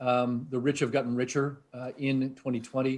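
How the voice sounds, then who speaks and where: Speaking in a New England accent, a man has a medium pitch. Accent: New England American. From US Northeast, New Hampshire. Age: 60s. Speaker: tech research executive. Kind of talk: interview. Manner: hesitant, many fillers.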